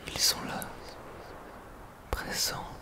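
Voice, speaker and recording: The words come out as a whisper, very slowly. Behind them sits noticeable background noise. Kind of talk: ASMR roleplay, guided imaginary journey. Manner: whispered.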